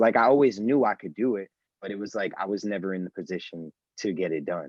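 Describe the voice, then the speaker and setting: In a New York accent, a man talks at a fairly quick pace with a fairly low pitch. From New York City. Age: 20s. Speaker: store owner and sneaker reseller. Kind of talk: casual podcast interview.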